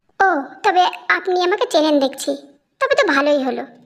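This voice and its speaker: A woman uses a put-on character voice at an extremely high pitch. Her pitch swings very wide at a moderate pace. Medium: read story. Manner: teasing, relaxed.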